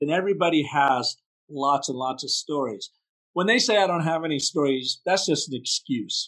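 In an unremarkable speaking voice, a man talks at a moderate pace with a fairly high pitch and lively intonation, the sound dry and close with no echo. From US Pacific Northwest. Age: 60s. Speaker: brand story strategist. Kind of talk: podcast interview.

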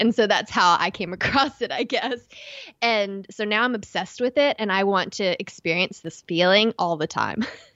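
A woman with an East Texas accent talks at a medium pitch. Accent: East Texas, noticeable. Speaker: podcast co-host.

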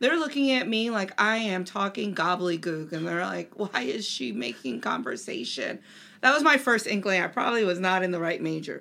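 On a very clean recording with a silent background, a woman with an American accent speaks at a medium pitch in a bright, sharp tone with vocal fry, very wide pitch swings and hardly any pauses. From Delaware, US. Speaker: marketing professor. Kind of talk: interview.

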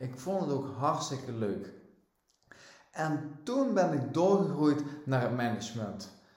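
Very slow, lively intonation in a room with audible echo. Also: man. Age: 40s. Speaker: lifestyle and vitality coach. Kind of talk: solo podcast monologue. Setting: at home on the couch.

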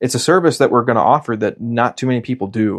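In an American accent, an ordinary speaking voice moves at a fairly quick pace against a quiet background. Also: man. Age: 30s. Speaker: podcast host, pest control business owner. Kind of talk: casual monologue.

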